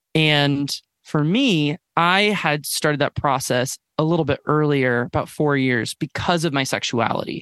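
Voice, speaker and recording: A man with a fairly high pitch and a normal speaking voice talks at a fairly slow pace. His pitch variation is ordinary, and the background is quiet. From US West (Colorado Springs). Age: 30s. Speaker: ex-pastor and author. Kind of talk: casual interview conversation. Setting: recording in a closet at home, remote call.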